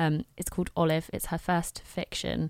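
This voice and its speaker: A very clean recording with a silent background carries speech at a moderate pace. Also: woman. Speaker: podcast co-host. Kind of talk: casual chat.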